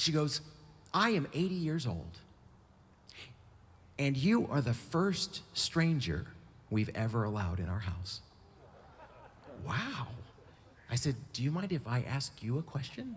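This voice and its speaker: A man with an American accent speaks in a somewhat breathy, fairly high voice with very wide pitch swings. His pace is fairly slow, with long, frequent pauses. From US West Coast. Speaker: bicycle traveler and writer. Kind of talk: storytelling talk. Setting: stage with audience. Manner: animated.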